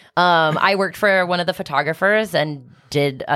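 A woman with an American accent speaks at a moderate pace with ordinary pitch variation, in a very clean recording with a silent background. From Kansas City, US Midwest. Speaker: real estate investor. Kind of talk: casual interview. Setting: studio.

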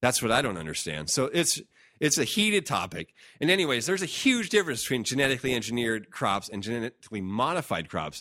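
Very fast and animated, a man with an American accent and a bright, sharp tone speaks at medium pitch with very wide pitch swings on a very clean recording with a silent background. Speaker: farmer and podcast host. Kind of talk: casual chat. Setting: studio. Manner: animated, joking.

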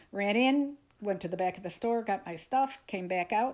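A woman speaks at a moderate pace in a normal speaking voice. The recording is very clean, with a silent background. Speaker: mother of the hosts. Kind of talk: casual family chat.

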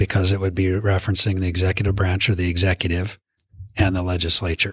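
Very deep and low in pitch, a man speaks at a fairly quick pace with monotone, flat intonation. The recording is very clean with a silent background. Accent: Upper Midwest. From North Dakota, Minot. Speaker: state legislator. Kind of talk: interview.

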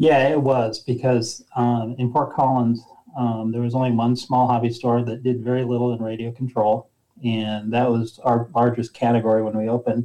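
Speaking at a moderate pace with an American accent, a man uses a medium pitch and a dark, mellow tone in a monotone, flat intonation. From rural central Nebraska. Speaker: retail company president. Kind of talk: interview.

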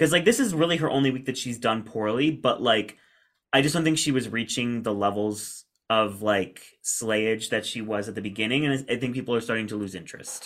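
In an ordinary speaking voice, a man goes at a fairly quick pace, his medium pitch showing ordinary pitch variation. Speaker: podcast host. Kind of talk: casual comedic chat.

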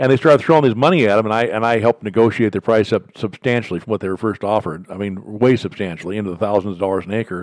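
Talking in an American accent at a very fast pace, the speaker leaves hardly any pauses and uses ordinary pitch variation. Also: man, fairly low pitch for a man, quiet background. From Montana (Billings). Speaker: oil businessman and landowner. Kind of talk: casual interview.

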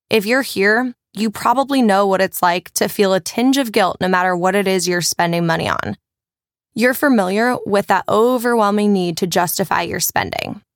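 A woman's plain, everyday voice at medium pitch and moderate pace, ordinary pitch variation, very even loudness, dry and close with no echo, on a very clean recording with a silent background. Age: 20s. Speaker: author narrating own audiobook. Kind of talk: audiobook narration.

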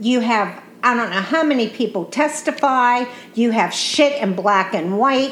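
A woman speaks at a fairly slow pace. Her high pitch moves with lively intonation. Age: 60s. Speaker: podcast co-host. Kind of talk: casual political chat. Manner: chatty, loses train of thought.

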